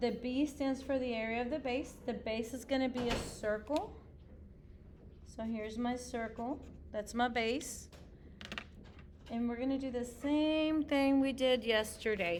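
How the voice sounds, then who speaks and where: Amid noticeable background noise and audible room echo, a woman with a high pitch talks at a fairly slow pace, with fairly even intonation and long, frequent pauses. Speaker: middle school math teacher. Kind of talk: tutorial.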